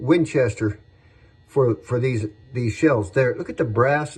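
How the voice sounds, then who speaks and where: A man talks at a medium pitch, his voice somewhat breathy. He speaks at a fairly slow pace. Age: 60s. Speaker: firearms collector and saddle maker. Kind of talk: casual show-and-tell video. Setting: his workshop. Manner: relaxed, hesitant with repetitions.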